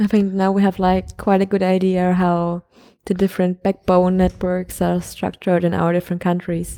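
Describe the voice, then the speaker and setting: A woman with a German accent, medium pitch and a dark, mellow tone, at a moderate pace with monotone, flat intonation, on a very clean recording with a silent background. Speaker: podcast co-host, student. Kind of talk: casual chat. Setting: recording at a conference in Prague.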